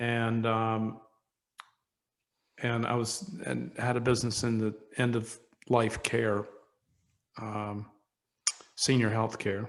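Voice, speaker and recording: Speaking at a very slow pace with long, frequent pauses, a man of medium pitch keeps a flat, monotone intonation. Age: 60s. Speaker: entrepreneur, wine company founder. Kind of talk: interview conversation.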